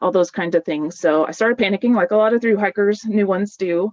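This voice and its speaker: Speaking at a very fast pace, a woman fills the clip. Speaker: dietitian giving a webinar talk. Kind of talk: webinar presentation. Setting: video webinar. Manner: animated.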